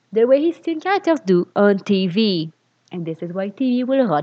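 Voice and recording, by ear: Here a passage is read aloud in a natural voice. It is quiet all around.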